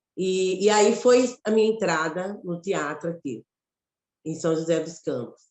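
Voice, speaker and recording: A woman with a fairly low pitch speaks at a fairly slow pace, her intonation lively. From Brazil, Mato Grosso. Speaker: theatre actress and director. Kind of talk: interview conversation.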